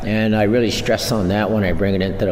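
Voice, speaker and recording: There is noticeable background noise and audible room echo. Through it, a man speaks in a fairly low pitch. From Red Lake reservation, Minnesota. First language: Ojibwe. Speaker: language teacher. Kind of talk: radio interview.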